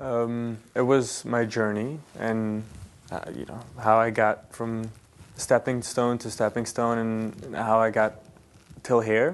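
Big swings in loudness run through this man's very slow, monotone, flat delivery. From New York, US. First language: Yiddish. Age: 20s. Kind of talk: casual interview. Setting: studio. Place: studio.

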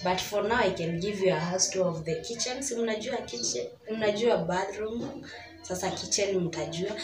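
A woman speaks at a moderate pace. Faint music plays in the background. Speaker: vlogger. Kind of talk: casual vlog chat. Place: kitchen. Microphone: phone near.

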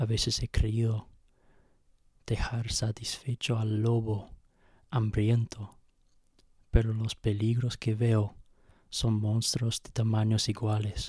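A man at a medium pitch, very slow and somewhat breathy, with a dark, mellow tone, monotone, flat intonation and long, frequent pauses, in a dry sound with no echo and a quiet background. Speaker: poet reading own poem. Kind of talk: poem reading. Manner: slow, measured, halting with hesitations. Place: home room. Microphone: handheld.

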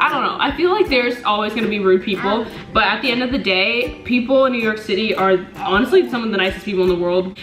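A woman talks at a very fast clip with hardly any pauses and ordinary pitch variation, in a room with audible echo and clear music playing behind her. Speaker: vlogger. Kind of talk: casual vlog chat, Q&A. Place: home room. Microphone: camera far.

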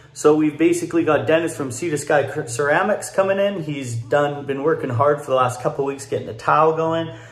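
A man at a fairly quick pace with ordinary pitch variation and audible room echo. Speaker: home builder vlogger. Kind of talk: casual vlog chat. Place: home room. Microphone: phone near.

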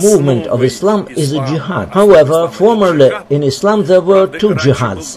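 A man talks at a moderate pace, with noticeable background noise behind him. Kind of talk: explanatory commentary. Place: waterside.

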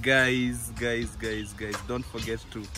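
A man over clear background music, the sound dry with no echo. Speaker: village vlogger. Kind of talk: casual vlog chat. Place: open country. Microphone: phone near.

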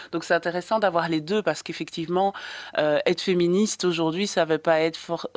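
A woman speaks at a moderate pace in a fairly low pitch. Her intonation stays monotone and flat. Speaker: radio film columnist. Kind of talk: radio interview. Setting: radio studio. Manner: hesitant.

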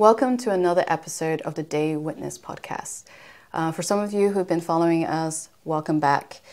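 With an unremarkable speaking voice, this woman keeps a moderate pace, and her pitch shifts in an ordinary way. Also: fairly low pitch for a woman. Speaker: podcast host. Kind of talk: podcast interview. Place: studio. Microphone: lapel.

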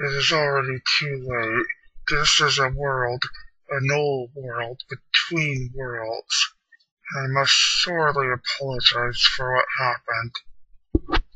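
Putting on a character voice, a man speaks at a fairly slow pace and a medium pitch. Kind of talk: scripted character dialogue. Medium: machinima. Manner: formal, solemn. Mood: solemn apology.

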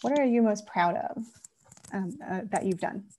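Her voice has a dark, mellow tone at a fairly high pitch for a woman, with ordinary pitch variation. The recording is very clean, with a silent background. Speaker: endorsement interview moderator. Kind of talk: political endorsement interview.

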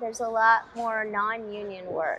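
A woman talks with light noise in the background. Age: young-sounding. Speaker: voice actor. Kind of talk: interview answer. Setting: convention interview. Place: studio.

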